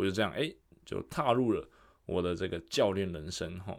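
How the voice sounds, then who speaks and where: A normal speaking voice from a man, fairly low in pitch with ordinary variation, at a moderate pace on a very clean recording with a silent background. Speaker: fitness coach. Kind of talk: solo podcast monologue. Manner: casual, with fillers and self-corrections.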